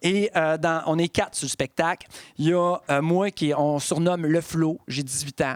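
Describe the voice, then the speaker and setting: In a normal speaking voice, a man talks at a fairly slow pace and fairly high pitch with fairly even intonation, the sound dry and close with no echo. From Quebec, Bas-Saint-Laurent (Rimouski). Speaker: storyteller and monologuist. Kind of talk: casual interview. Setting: cultural centre recording.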